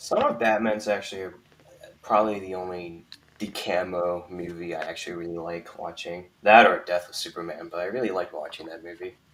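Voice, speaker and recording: A man speaks at a fairly quick pace with a very deep, low pitch and fairly even intonation. His loudness swings widely over noticeable background noise. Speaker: YouTuber, guest. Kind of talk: casual live stream discussion. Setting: live stream. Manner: mumbling, hesitant.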